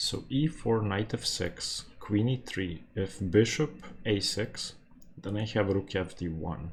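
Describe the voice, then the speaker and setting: A man with a non-native accent talks at a very slow pace, his pitch fairly low. His voice is somewhat breathy, with lively intonation. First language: not English. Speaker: chess YouTuber. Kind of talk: live game commentary. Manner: thinking aloud, halting.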